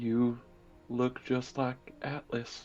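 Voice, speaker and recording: Using a put-on character voice, a man speaks at medium pitch in a shaky, monotone delivery with flat intonation. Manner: shaky, trembling.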